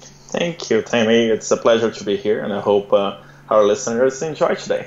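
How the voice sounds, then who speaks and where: A man with a Brazilian Portuguese accent talks at a moderate pace, with medium pitch and ordinary pitch variation. Noticeable background noise can be heard. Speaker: entrepreneur and immigrant guest. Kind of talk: interview. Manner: halting with many fillers and repeats.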